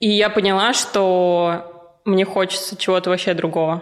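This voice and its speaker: A woman's unremarkable speaking voice, medium in pitch, fairly slow and fairly even in intonation. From Russia, Ufa (Bashkortostan). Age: 20s. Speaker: business mentor. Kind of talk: casual interview chat.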